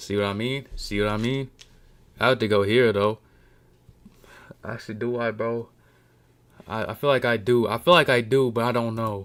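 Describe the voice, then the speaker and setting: A man at a medium pitch and moderate pace, with long, frequent pauses, in a very clean recording with a silent background. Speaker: wrestling livestreamer. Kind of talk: casual livestream commentary. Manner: animated.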